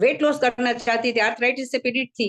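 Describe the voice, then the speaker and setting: With fairly even intonation, a woman talks in a high-pitched voice. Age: 70s. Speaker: retired teacher giving a talk. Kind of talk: informal talk to a community group. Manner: halting, with many fillers.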